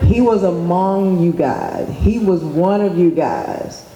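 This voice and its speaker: The voice has an American accent. Background noise is noticeable. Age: 50s. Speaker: youth nonprofit founder. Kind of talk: speech to students. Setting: school assembly.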